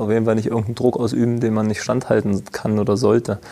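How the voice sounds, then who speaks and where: Over noticeable background noise, a man with a medium-pitched voice talks at a very fast pace in a flat monotone. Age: 30s. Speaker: professional footballer, team captain. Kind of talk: interview. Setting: stadium.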